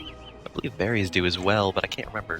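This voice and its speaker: Music plays in the background as a man speaks. He moves at a fairly quick pace in a monotone, flat intonation. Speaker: gaming video creator. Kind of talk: casual gameplay commentary. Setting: home microphone, low quality.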